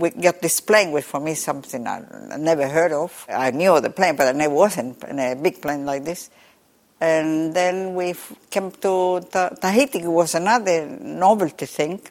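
A woman with a Spanish accent speaks at a moderate pace in a fairly low voice with ordinary pitch variation. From southern Chile. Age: 80s+. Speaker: umbrella maker. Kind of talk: interview. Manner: halting.

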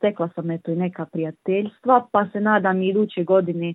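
A woman with a plain, everyday voice speaks at a moderate pace, fairly low in pitch with fairly even intonation. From Bosnia and Herzegovina, Livno. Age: 20s. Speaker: painter. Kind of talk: interview.

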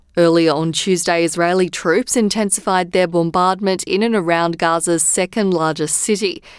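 A woman with an Australian accent speaks at a fairly low pitch and a moderate pace. The recording is very clean, with a silent background. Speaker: news presenter. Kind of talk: radio news bulletin reading. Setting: studio. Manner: measured, even-paced newsreader delivery; formal, neutral tone through grave war casualty figures.

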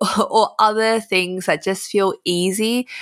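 Animated in tone, a woman with an Australian accent speaks on a very clean recording with a silent background. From Australia, Melbourne. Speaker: influencer and writer. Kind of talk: casual chat.

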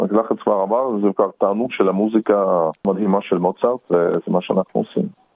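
A man speaks at a moderate pace with hardly any pauses. His loudness stays very even. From Russia (Perm), raised in Israel from teens. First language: Russian (speaking Hebrew). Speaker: opera singer. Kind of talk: interview.

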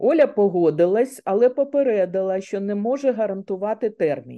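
This is an ordinary speaking voice. The intonation is lively and the pace moderate. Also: woman. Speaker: author, retired banker. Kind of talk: radio interview.

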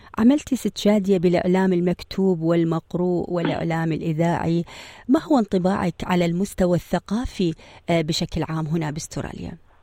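A woman's dark, mellow voice at a moderate pace, with ordinary pitch variation and a dry, close sound free of echo. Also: fairly low pitch for a woman. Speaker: podcast host, interviewer. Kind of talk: interview.

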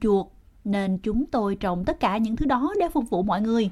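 An unremarkable speaking voice moves at a fairly slow pace. The intonation is lively. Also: woman. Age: 60s. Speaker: formerly homeless senior. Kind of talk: casual chat. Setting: outdoors.

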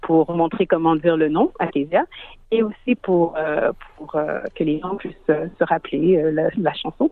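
Speaking fairly slowly, a woman uses a fairly low pitch with ordinary pitch variation. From Quebec, Montreal. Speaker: singer. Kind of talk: radio interview. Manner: hesitant, with fillers.

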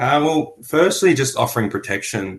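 A man is speaking. He has an Australian accent. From Melbourne, Australia. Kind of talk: radio interview. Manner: hesitant with many fillers.

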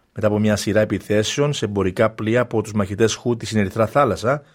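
Over a very clean recording with a silent background, a man talks at a fairly quick pace in a medium pitch, with an ordinary speaking voice. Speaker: radio newsreader. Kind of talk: news bulletin read aloud in formal, scripted Greek. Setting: studio. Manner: formal, measured, steady; brisk, neutral, even delivery.

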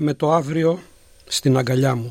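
Using a plain, everyday voice, a man speaks at a fairly slow pace with a fairly high pitch and fairly even intonation. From Greece, Peloponnese (Gastouni, Elis). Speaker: poet and philosophy lecturer. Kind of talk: poetry reading. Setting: studio.

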